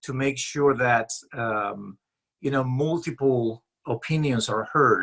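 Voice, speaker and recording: Very slowly, a man speaks in a fairly high pitch with a bright, sharp tone. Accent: non-native. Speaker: author and leadership consultant. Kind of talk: interview. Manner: hesitant, many fillers.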